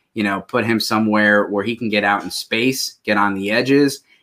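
Bright and sharp in tone, a man talks at a moderate pace. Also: very clean recording, silent background. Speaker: fantasy football podcast host. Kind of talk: casual chat.

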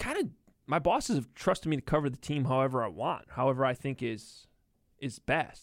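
In a very clean recording with a silent background, a man talks at a fairly quick pace in a normal speaking voice, fairly high in pitch with ordinary pitch variation and big swings in loudness. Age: 30s. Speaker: sports reporter. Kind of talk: casual interview. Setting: studio.

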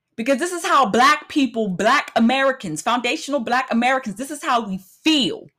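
The voice is raised and projected, bright and sharp in tone, moving at a fairly quick pace with lively intonation and an animated tone. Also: woman, high pitch for a woman. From United States. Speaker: podcast host. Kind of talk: solo monologue rant.

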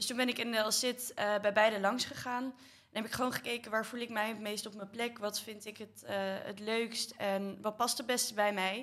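Monotone, flat intonation runs through this woman's fairly high pitch at a moderate pace. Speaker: student association board member. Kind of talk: casual chat.

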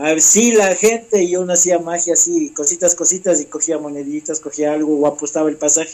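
Over noticeable background noise, a man speaks at a high pitch and a moderate pace, with fairly even intonation and hardly any pauses. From Ecuador, Ambato. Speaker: magician. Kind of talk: interview.

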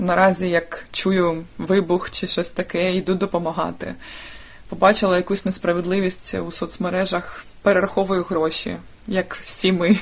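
The speaker uses a monotone, flat intonation with vocal fry. The pace is fairly slow. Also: woman, medium pitch for a woman. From Dnipro, Ukraine. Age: 30s. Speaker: volunteer. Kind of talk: recorded testimony.

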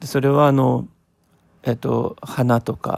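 The recording has a dry, close sound with no echo as a man with a medium pitch talks at a very slow pace. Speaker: podcaster. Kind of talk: solo reflective monologue. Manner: frequent fillers and hesitations; slow, thoughtful.

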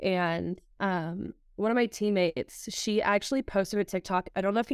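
A woman talks in a plain, everyday voice at a medium pitch and a moderate pace, with ordinary pitch variation. The recording is very clean, with a silent background. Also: dry, close sound with no echo. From Southern California. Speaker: college soccer goalkeeper. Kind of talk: casual interview.

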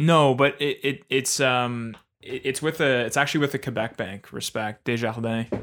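A man talks at medium pitch and a moderate pace with fairly even intonation, in a normal speaking voice. The recording is very clean, with a silent background. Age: 20s. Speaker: podcast co-host. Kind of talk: casual chat.

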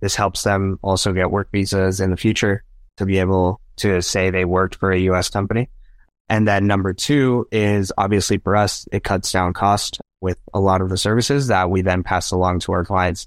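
This man's voice is very deep and low, moving at a moderate pace. His loudness stays very even against a quiet background. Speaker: real estate broker and motivational speaker. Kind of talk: casual interview. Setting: remote call. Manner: energetic.

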